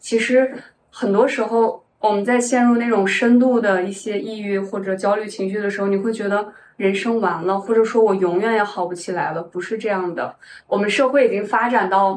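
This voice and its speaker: A woman talks at a moderate pace in a normal speaking voice. Her pitch is medium and her intonation fairly even. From Shanxi, northern China. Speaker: tech worker, part-time counselor, ex-bartender. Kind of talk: casual interview chat. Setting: in-person recording in Shanghai.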